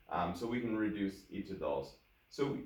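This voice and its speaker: Moderately paced speech from a man, set in audible room echo over noticeable background noise. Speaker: math teacher. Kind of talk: tutorial.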